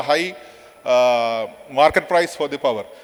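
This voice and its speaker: This is a man speaking. Noticeable background noise runs behind him. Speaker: power sector official. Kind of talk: conference presentation. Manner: fast; halting, many fillers.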